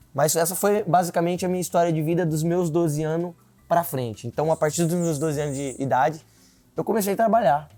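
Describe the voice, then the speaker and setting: There is music in the background behind a man's voice. He speaks with a high pitch at a fairly quick pace. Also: ordinary pitch variation. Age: 20s. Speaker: political candidate. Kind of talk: interview.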